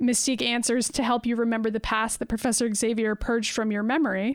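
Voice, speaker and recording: A woman talks at a very fast pace with a fairly high pitch. Her intonation is monotone and flat. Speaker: podcast co-host. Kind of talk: casual chat.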